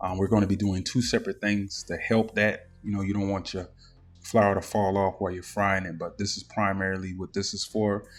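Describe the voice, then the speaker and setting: A man with a Southern US accent, fairly low pitch, and monotone, flat intonation at a fairly quick pace, in a very clean recording with a silent background. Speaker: cooking YouTuber. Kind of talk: cooking tutorial. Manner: casual, filler-heavy.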